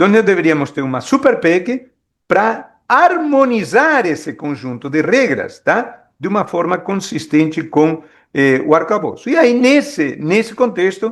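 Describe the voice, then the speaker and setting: The man's voice is high in pitch and swings very widely. He speaks at a fairly slow pace. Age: 60s. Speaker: economist. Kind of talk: expert talk at a meeting. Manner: hesitant, many fillers.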